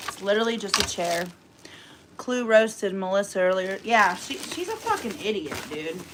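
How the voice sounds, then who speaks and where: With noticeable background noise behind her, a woman speaks in an animated tone at medium pitch and a moderate pace, with ordinary pitch variation. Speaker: cooking livestreamer. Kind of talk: casual livestream chat. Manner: loud.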